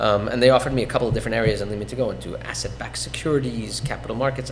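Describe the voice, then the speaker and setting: A man talking at a very fast pace with noticeable background noise and audible room echo. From Iran (Tehran), fled as child. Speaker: real estate investor, podcast guest. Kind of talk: interview, personal story. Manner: frequent fillers (um, uh), self-corrections.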